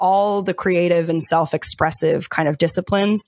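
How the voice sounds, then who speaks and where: In a very clean recording with a silent background and a dry, close sound without echo, a woman with an American accent speaks fairly slowly at a fairly low pitch. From US, Delaware. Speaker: life coach. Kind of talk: guided meditation; interview.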